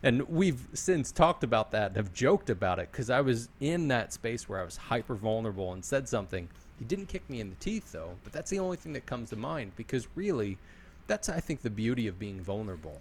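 Somewhat breathy and medium in pitch, a man speaks at a fairly quick pace with very wide pitch swings. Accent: American. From Philadelphia. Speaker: podcast host and sales executive. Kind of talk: casual interview chat.

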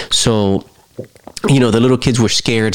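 A man talks in an animated tone while noticeable background noise carries on around him. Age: 30s. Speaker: podcast host, movie reviewer. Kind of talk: casual solo movie review.

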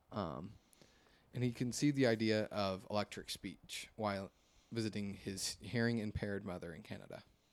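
A man speaks in an ordinary speaking voice at a fairly low pitch. His loudness swings widely. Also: ordinary pitch variation, moderate pace. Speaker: podcast host. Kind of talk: casual chat. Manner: joking, casual.

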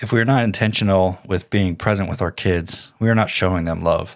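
In a very clean recording with a silent background, a man speaks at a moderate pace with a very deep, low pitch and fairly even intonation. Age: 40s. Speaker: podcast host giving advice to fathers. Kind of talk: solo monologue podcast.

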